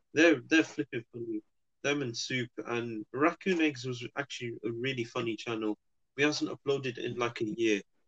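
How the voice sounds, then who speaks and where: This is a man with a normal speaking voice at a moderate pace. The sound is dry and close with no echo, and his pitch varies in an ordinary way. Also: medium pitch for a man. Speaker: podcast co-host. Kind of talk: casual banter.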